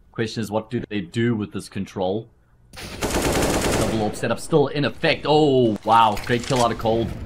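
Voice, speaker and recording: A man speaks in a medium pitch at a moderate pace. His intonation is fairly even, with noticeable background noise behind him. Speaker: esports commentator. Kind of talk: live esports commentary. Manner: brisk play-by-play.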